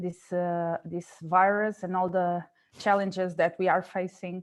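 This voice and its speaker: Delivered at a fairly slow pace in a Portuguese accent, the speech keeps a flat, monotone intonation. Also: woman. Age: 30s. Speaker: radio sports reporter and union board member. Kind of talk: webinar panel discussion. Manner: halting.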